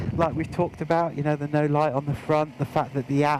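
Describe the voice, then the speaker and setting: A man speaks over noticeable background noise. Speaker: motorcycle gear reviewer. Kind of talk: product review. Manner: hesitant, many fillers.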